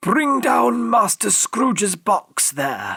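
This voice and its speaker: Shouting in a raspy, put-on character voice, the speaker goes at a very slow pace with very wide pitch swings, heard as a dry, close sound with no echo. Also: man, high pitch for a man. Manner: commanding, shouting.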